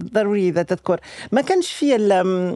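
Very wide pitch swings mark the way this woman speaks. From France. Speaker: researcher and long-term expatriate in Yemen. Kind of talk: casual interview storytelling. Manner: animated, halting, hesitant.

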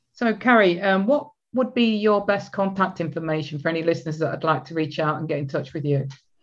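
This woman talks very fast with hardly any pauses, her pitch fairly low and her intonation lively. She has a British accent, and the background is quiet. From UK. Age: 60s. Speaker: podcast host, relationship coach. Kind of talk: interview.

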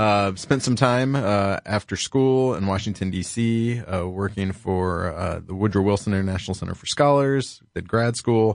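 An ordinary speaking voice: a man with an American accent, fairly low in pitch, with ordinary pitch variation at a moderate pace, hardly any pauses, and a quiet background. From Columbus, Ohio. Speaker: county auditor, public official. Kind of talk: interview, explaining policy.

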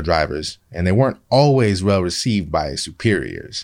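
With an American accent, a man's pitch swings very widely, heard on a very clean recording where the background is silent. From Seattle, US Pacific Northwest. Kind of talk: scripted narration.

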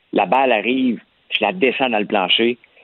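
A man speaks at medium pitch and a moderate pace. His intonation is lively. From rural Quebec. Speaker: columnist. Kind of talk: casual chat.

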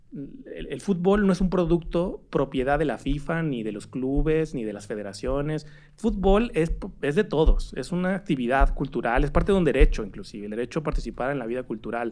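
A man talks at a fairly quick pace with hardly any pauses, his pitch fairly high. His loudness swings a lot. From Mexico, Torreón. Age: 30s. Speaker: digital rights organization director. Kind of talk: casual chat.

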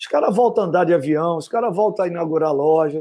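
Over a quiet background, a man speaks with a high pitch and a dark, mellow tone. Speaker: retired footballer. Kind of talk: casual interview.

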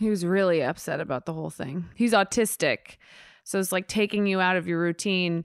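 A woman with an American accent talks at a fairly quick pace and medium pitch in a plain, everyday voice with ordinary pitch variation, on a very clean recording with a silent background and a dry, close sound with no echo. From Hoboken, New Jersey. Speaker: podcast co-host, daughter of co-host. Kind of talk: casual interview chat.

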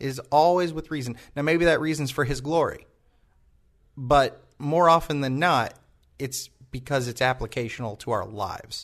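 A man talks in a normal speaking voice with ordinary pitch variation against a quiet background. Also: fairly high pitch for a man, moderate pace. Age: 20s. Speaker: church podcast host. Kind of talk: casual chat; sermon.

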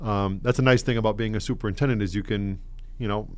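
A man's voice with audible room echo. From Connecticut, East Hartford. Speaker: school superintendent. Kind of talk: radio interview. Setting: studio. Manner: halting, many fillers and repetitions.

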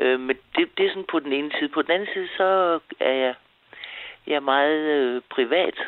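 Her pitch very deep and low, a woman speaks at a fairly slow pace with ordinary pitch variation. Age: 70s. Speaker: caller. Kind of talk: casual chat. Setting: phone call. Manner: halting.

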